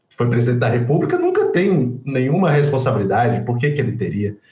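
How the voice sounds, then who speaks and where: Over music in the background, a man speaks with audible room echo. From João Pessoa, Brazil. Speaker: guest commentator. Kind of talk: casual political commentary. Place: home room. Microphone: webcam.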